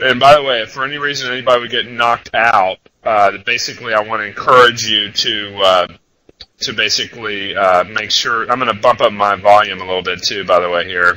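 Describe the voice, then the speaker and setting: A man speaks at a fairly quick pace in a fairly low pitch, with ordinary pitch variation. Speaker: trader presenting a trading webinar. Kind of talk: webinar presentation. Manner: loud.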